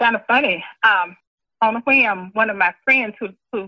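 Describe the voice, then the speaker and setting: A woman with a Southern US accent talks at a moderate pace in a fairly high voice. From Mississippi. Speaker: retired teacher and guidance counselor. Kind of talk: oral history interview.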